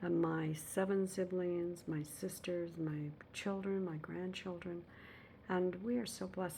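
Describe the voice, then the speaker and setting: A woman with an ordinary speaking voice, fairly low in pitch, with fairly even intonation. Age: 60s. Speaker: vlogger. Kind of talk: casual personal vlog. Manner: reflective, with many fillers.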